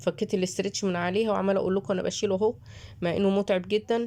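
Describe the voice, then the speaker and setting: With a dark, mellow tone, a woman talks at a fairly quick pace, keeping a medium pitch and ordinary pitch variation. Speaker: YouTube home cook reviewer. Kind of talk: product review vlog. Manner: casual, chatty.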